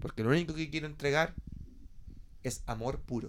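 This man has a Chilean accent and a fairly high pitch. He talks at a moderate pace. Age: 20s. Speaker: podcast host. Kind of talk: casual chat.

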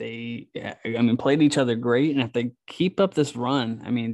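At a moderate pace and medium pitch, a man speaks in a normal speaking voice with fairly even intonation, the sound dry and close with no echo against a quiet background. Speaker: podcast host. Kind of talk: casual chat. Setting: hotel room.

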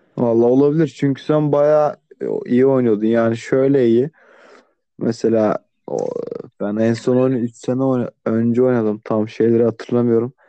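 A man speaks fairly slowly at a medium pitch with fairly even intonation. His loudness stays very even. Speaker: podcast co-host. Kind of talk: casual chat. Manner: sleepy-sounding.

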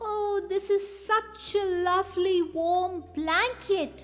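A woman's put-on character voice, extremely high-pitched, at a very slow pace over light background noise. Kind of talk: bedtime story. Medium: read story.

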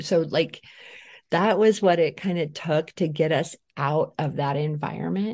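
Against a quiet background, a woman with a very deep, low pitch talks at a fairly slow pace with ordinary pitch variation. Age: 40s. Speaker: trauma and poverty educator. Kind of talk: interview. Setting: studio. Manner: animated.

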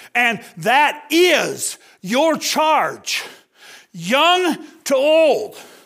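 With an extremely high pitch and a bright, sharp tone, a man speaks very slowly, leaving long, frequent pauses. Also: lively intonation. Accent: American. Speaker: missionary. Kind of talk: sermon.

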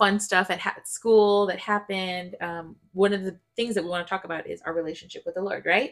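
Intonation stays monotone and flat throughout. The recording is very clean, with a silent background. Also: woman. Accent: American. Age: 30s. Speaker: podcast host. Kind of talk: casual chat.

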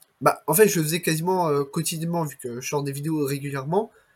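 A plain, everyday voice at a moderate pace, in a very clean recording with a silent background. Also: man. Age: 20s. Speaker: entrepreneur podcast host. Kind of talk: interview.

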